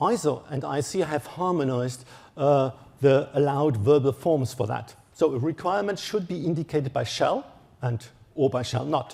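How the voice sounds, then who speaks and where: With a German accent, a man talks at a moderate pace in a fairly high pitch for a man, his dark, mellow tone somewhat breathy and his pitch variation ordinary. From Germany. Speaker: electronic engineer, standards expert. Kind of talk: conference talk. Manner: halting.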